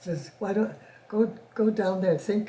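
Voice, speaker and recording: With an American accent, a woman speaks at a fairly slow pace in a dark, mellow, somewhat breathy voice. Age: 80s+. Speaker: oral history interviewee. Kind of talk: interview answer. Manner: halting, repetitive.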